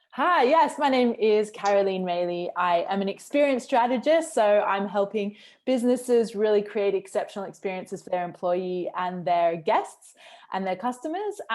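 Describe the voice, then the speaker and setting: The speaker has an Australian accent. The intonation is lively. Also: woman, medium pitch for a woman, moderate pace. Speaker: customer experience consultant. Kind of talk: interview.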